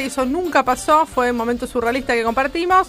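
A woman's high voice in a Rioplatense accent, animated and very fast, with ordinary pitch variation and noticeable background noise. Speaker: radio host. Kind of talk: casual chat.

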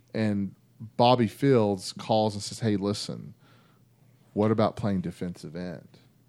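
A man with a Texan accent, fairly slow in pace, dark and mellow in tone, with ordinary pitch variation, big swings in loudness and long, frequent pauses. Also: fairly low pitch for a man. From North Texas (Vernon, Mesquite near Dallas). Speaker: former college football player. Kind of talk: casual chat.

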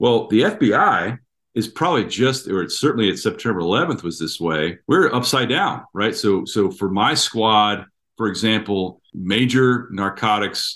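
Against a quiet background, a man with an American accent and an unremarkable speaking voice talks at a moderate pace in a fairly low pitch, his intonation lively. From Washington DC area. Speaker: retired FBI agent. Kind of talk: interview.

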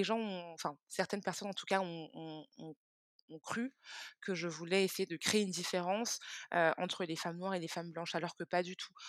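In a very clean recording with a silent background and a dry, close sound with no echo, a woman speaks at a moderate pace with a fairly low pitch and fairly even intonation. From Israel, then France from age 10-11. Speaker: beauty brand founder. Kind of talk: interview. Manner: hesitant, with repetitions.

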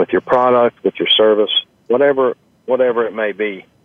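A man with an American accent speaks at a fairly quick pace in a plain, everyday voice, his pitch medium and its variation ordinary. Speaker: restaurant chain executive. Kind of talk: interview. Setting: on location at a restaurant.

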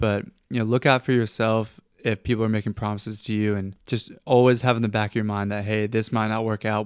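Fairly low in pitch, a man speaks with an American accent at a fairly quick pace. His intonation is monotone and flat. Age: 20s. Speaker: sports podcast host. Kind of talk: casual chat.

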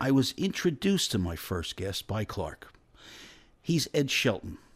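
A man's somewhat breathy voice with very wide pitch swings at a moderate pace, on a very clean recording over a silent background. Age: 50s. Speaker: radio host. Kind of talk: radio talk show.

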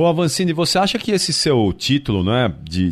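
Very wide pitch swings run through a man's speech. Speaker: radio host. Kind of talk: radio interview.

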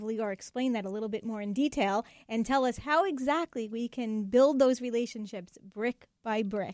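Hardly pausing, a woman in an ordinary speaking voice talks at a moderate pace with a fairly high pitch against a quiet background. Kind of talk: radio host patter: a brisk, polished station ID and break bumper. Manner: upbeat, warm, fluent and brisk, with a crisp announcer-style delivery.

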